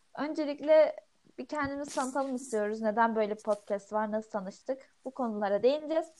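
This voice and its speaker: At a moderate pace, a woman talks in a high voice. Her pitch varies in an ordinary way. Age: 20s. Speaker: podcast co-host, architecture student. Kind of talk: casual chat.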